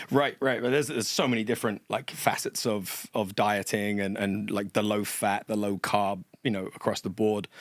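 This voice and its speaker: A man with an American accent talks at a moderate pace in a fairly low pitch, with fairly even intonation, hardly any pauses, and a dry, close sound with no echo. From England. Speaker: personal trainer. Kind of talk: podcast interview.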